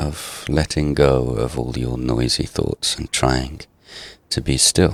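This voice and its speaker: A soft-spoken man at a very slow pace, very deep and low in pitch, with noticeable background noise. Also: fairly even intonation. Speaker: gaming ASMR creator. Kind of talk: relaxing ASMR gameplay monologue.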